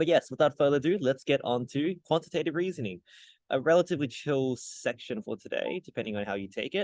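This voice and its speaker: The speaker has an Australian accent and lively intonation. The sound is dry and close with no echo, and the background is quiet. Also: man. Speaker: tutor. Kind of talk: tutorial. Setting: hotel lobby. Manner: soft-spoken; casual.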